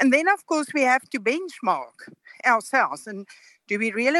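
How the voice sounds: Recorded dry and close with no echo, a woman talks at a fairly slow pace in a fairly high, fairly bright voice with lively intonation.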